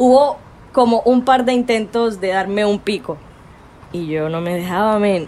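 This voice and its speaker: Using a normal speaking voice, a woman talks at a medium pitch. She moves at a fairly slow pace, and her pitch variation is ordinary. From Cartagena, Colombia. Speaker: storyteller and interviewer. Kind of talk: personal testimony.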